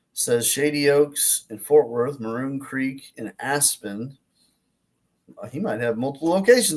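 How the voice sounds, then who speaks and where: A man with an American accent talks in a fairly high pitch, his intonation lively. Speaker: golf instructor. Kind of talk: casual online talk. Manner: loud; halting, repetitive.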